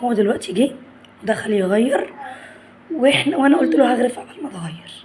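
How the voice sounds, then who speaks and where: Lively intonation and an animated tone with an Egyptian accent, at a moderate pace over noticeable background noise. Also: woman. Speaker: family vlogger. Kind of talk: casual vlog chat.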